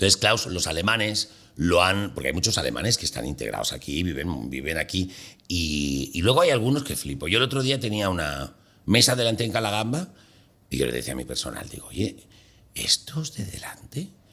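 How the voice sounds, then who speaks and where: Speaking at a fairly quick pace, a man with a very deep, low pitch and a bright, sharp tone makes very wide pitch swings, with vocal fry. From Mallorca, Palma. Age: 60s. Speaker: comedian. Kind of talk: casual chat. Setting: studio.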